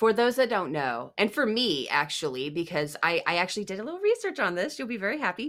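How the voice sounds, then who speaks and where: A woman talking at a very fast pace with very wide pitch swings and vocal fry, on a very clean recording with a silent background. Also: medium pitch for a woman. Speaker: podcast co-host. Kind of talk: casual chat.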